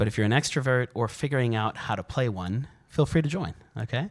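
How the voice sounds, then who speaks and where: Recorded very cleanly against a silent background, a man speaks in an animated tone with lively intonation. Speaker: functional neurologist, speaker. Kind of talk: workshop talk. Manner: fast.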